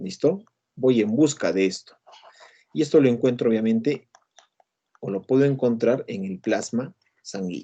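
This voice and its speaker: Speaking at a fairly slow pace with long, frequent pauses, a man with a medium pitch and a dark, mellow tone uses lively intonation. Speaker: university lecturer. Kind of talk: lecture. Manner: many filler sounds.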